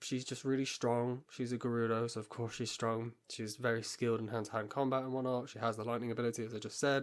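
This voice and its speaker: Pitched in the medium range, a man rattles along at a very fast pace with hardly any pauses, his intonation monotone and flat. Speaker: podcast host. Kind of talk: casual podcast talk.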